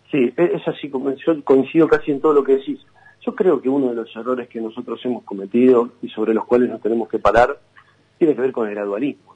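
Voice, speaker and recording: At a fairly quick pace, a man with a plain, everyday voice speaks at a medium pitch with ordinary pitch variation and big swings in loudness. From Buenos Aires, Argentina. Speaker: provincial senator. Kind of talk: radio interview.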